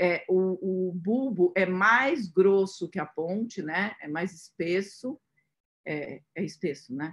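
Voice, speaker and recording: Her pace very slow, a woman talks with ordinary pitch variation. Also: medium pitch for a woman. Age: 50s. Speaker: radiologist. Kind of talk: webinar lecture. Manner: halting, many fillers.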